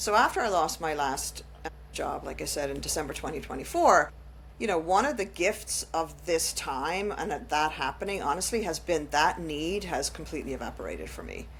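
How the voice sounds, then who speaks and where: Speaking at a moderate pace, a woman talks in an Irish accent. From Ireland. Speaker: podcast host. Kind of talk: casual chat.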